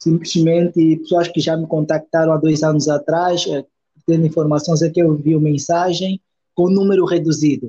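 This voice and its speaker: A man with a fairly high pitch and a dark, mellow tone speaks at a moderate pace in a monotone, flat intonation. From Angola, Luanda. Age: 20s. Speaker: cake artist and pastry teacher. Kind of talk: interview. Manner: halting, many repetitions.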